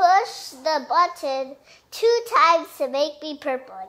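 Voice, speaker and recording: In a squeaky, put-on character voice with an extremely high pitch, a woman speaks at a fairly slow pace. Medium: read story. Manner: excitable, exclamatory.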